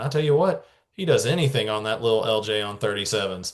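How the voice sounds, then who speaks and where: A man speaks at a very fast pace, somewhat breathy. His intonation is lively. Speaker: off-road enthusiast. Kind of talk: casual chat. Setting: podcast. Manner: talkative.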